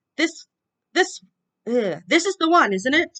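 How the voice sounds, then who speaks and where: Putting on a character voice, a woman growls at an extremely high pitch and a fairly slow pace, with very wide pitch swings. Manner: snarling.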